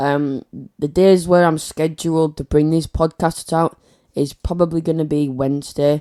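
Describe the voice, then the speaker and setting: Dry and close with no echo, a man's dark, mellow voice moves at a moderate pace. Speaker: YouTuber, podcast host. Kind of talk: casual solo podcast talk. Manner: hesitant, many fillers.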